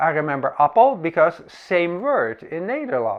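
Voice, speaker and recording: Speaking at a fairly slow pace with a Dutch accent, this voice has lively intonation. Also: man. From Netherlands. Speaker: camera reviewer. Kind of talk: comedic monologue.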